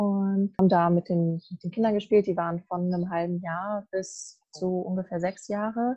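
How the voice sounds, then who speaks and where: A somewhat breathy woman's voice with fairly even intonation and hardly any pauses. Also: medium pitch for a woman, moderate pace, big swings in loudness. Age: 20s. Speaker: university student. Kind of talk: casual chat. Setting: video call from a garden.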